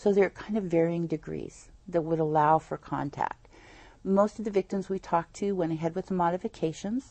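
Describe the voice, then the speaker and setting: Fairly quick and fairly even in intonation, a woman with an American accent talks in a plain, everyday voice at a fairly low pitch. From Northern California (Eureka). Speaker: nonprofit founder, domestic violence advocate. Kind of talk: interview on a local TV program.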